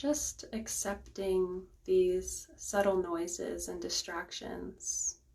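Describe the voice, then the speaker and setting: A woman speaks at a very slow pace in a calm tone, with noticeable background noise behind her. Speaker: Reiki master and guided meditation host. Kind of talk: guided meditation. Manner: slow, calm, soft-spoken.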